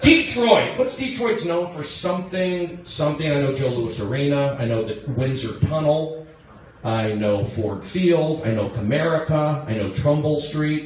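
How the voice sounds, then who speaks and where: Audible room echo hangs around the voice. The man delivers his words at a fairly slow pace. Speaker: stand-up comedian. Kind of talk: stand-up crowd work. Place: stage.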